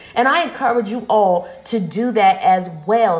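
A woman speaks over noticeable background noise. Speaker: podcast host, motivational speaker. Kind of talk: motivational pep talk. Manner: animated, upbeat, emphatic and exhorting, with repeated rallying phrases.

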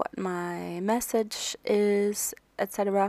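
A woman speaks quietly. The sound is dry and close, with no echo. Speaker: life coach and podcast host. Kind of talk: solo podcast monologue. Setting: at home. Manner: quiet, lowered voice; casual, relaxed.

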